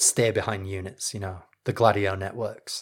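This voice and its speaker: In a very clean recording with a silent background, a man speaks with a northern English accent. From northern England, Leeds. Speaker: history podcast host. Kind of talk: scripted narration.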